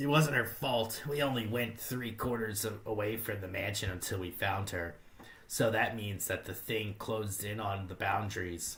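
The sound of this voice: Using a put-on character voice that is nasal and fairly low in pitch, a man speaks at a moderate pace over clear background noise.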